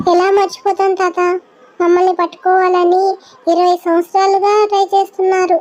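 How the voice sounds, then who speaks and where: An extremely high-pitched cartoonish character voice at a moderate pace. The delivery is monotone and flat. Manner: anxious, fretful.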